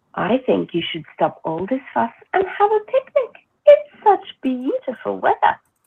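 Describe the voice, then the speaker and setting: Someone puts on a squeaky character voice and speaks at a moderate pace. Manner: cheerful, delighted.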